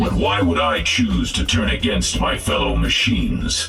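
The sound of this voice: A man does a put-on character voice at extremely low pitch with vocal fry, a fairly bright tone and ordinary pitch variation. The sound is robotic and processed, the pace is fairly slow, and faint music plays in the background.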